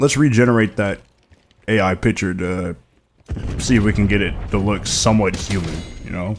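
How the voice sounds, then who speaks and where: A man speaks in an animated tone, his pitch fairly low. His words come out mumbled. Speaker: gaming commentator. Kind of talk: unscripted live commentary. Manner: mumbling a little; animated, ranting.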